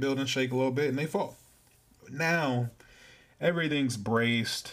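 Speaking fairly quickly with an American accent, a man holds a medium pitch with ordinary variation in a very clean recording over a silent background. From California. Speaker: podcast host. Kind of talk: casual monologue. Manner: casual, filler-heavy.

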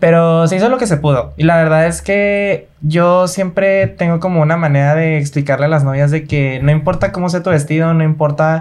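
Noticeable background noise sits behind the voice. A man speaks fairly high in pitch with fairly even intonation. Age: 20s. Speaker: dance choreographer. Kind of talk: casual interview.

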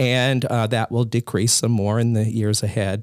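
In an ordinary speaking voice, a man with an American accent speaks at a moderate pace and medium pitch, with fairly even intonation, on a very clean recording with a silent background and a dry, close sound with no echo. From US South, Columbia, South Carolina. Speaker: pastor. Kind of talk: casual chat. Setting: office.

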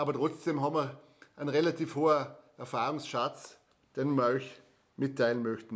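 In a Vorarlberg accent, a man talks at a moderate pace. His pitch is fairly high and his intonation fairly even. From Austria, Vorarlberg (Bregenz area). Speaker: travel podcast host. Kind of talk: casual chat.

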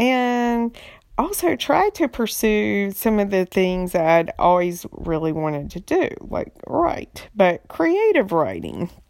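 Speaking very slowly with a North Carolina accent, a woman uses a medium pitch with very wide pitch swings. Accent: Southern US (North Carolina). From US South, eastern North Carolina. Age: 40s. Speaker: podcast host, writer. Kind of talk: casual monologue. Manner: halting, many fillers.

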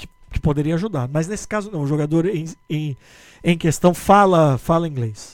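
Speaking at a moderate pace, a man with a normal speaking voice uses a fairly high pitch, ordinary pitch variation and big swings in loudness. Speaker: podcast host and sports journalist. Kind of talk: casual chat.

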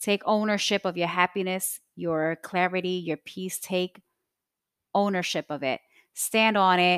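A woman with an unremarkable speaking voice talks at a fairly slow pace, her pitch medium and her intonation fairly even. The sound is dry and close with no echo, and the recording is very clean over a silent background. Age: 30s. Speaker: podcast host. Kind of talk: personal monologue.

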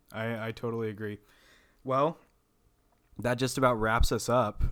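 A man with an American accent has a normal speaking voice at a medium pitch, talking at a moderate pace on a very clean recording with a silent background. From Texas, Amarillo. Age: 20s. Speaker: podcast host. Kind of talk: casual chat.

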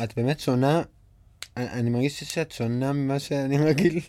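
Using a dark, mellow tone, a man speaks at a fairly quick pace and medium pitch with ordinary pitch variation. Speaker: podcast host and actor. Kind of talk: casual chat. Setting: recording studio.

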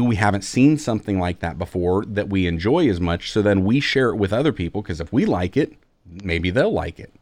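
Fairly low in pitch, a man talks at a fairly quick pace in an animated tone with lively intonation. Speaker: podcast host. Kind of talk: casual podcast chat. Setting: home recording with mic, video call. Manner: animated, jokey.

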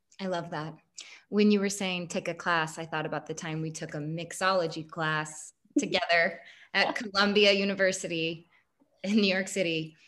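A woman with an American accent and an ordinary speaking voice, fairly low in pitch, at a moderate pace with fairly even intonation. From Kansas, US Midwest. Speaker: podcast host. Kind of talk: casual chat.

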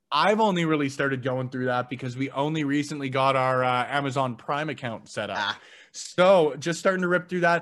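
In a very clean recording with a silent background, a man with a Canadian accent and an unremarkable speaking voice talks at a fairly high pitch and a fairly quick pace, with ordinary pitch variation. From Canada, Edmonton. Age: 20s. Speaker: podcaster. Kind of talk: casual chat.

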